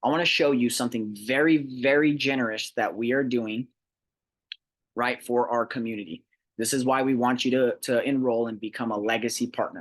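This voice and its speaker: The background is quiet. A man talks at a medium pitch. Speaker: real estate investment presenter. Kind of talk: sales pitch. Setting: recorded presentation. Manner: fast.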